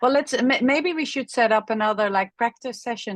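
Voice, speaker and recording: A woman's fairly high voice with lively intonation and a non-native accent, over a quiet background. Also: dry, close sound with no echo. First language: not English. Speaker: chiropractor and mindset coach. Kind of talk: group coaching session.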